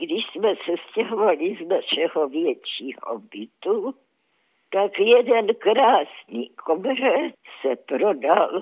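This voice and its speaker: Talking proceeds very slowly. Pitch rises and falls across a very wide range. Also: woman. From Czechia, Hradec Králové. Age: 90s. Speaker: Holocaust survivor. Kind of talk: testimony. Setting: phone call.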